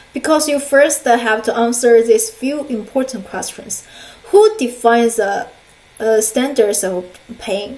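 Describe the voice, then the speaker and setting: Speaking with a Chinese accent, a woman uses a high pitch, ordinary pitch variation and a fairly slow pace. Noticeable background noise and audible room echo fill the recording. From China. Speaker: counselor and lecturer. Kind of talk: lecture. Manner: halting, many fillers.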